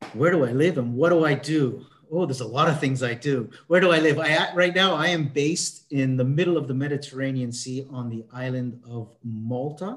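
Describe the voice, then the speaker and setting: A man with a Canadian accent, fairly high in pitch with ordinary pitch variation, at a moderate pace with hardly any pauses. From Canada. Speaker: mindset consultant. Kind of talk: interview. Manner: halting, many fillers.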